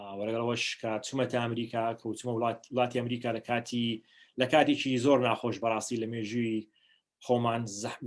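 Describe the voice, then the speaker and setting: This man speaks with a Kurdish accent at a medium pitch. His pace is fairly quick. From New Hampshire, US (born in Iraq, Kurdish). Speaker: diplomat. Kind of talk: personal talk to online audience. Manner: halting, many fillers.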